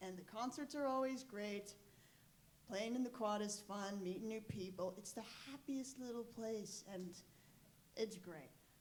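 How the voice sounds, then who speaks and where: A woman with a fairly high pitch speaks with long, frequent pauses, amid audible room echo and noticeable background noise. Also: ordinary pitch variation, fairly slow pace. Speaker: youth group leader. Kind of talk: testimony. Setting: stage in church. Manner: loud.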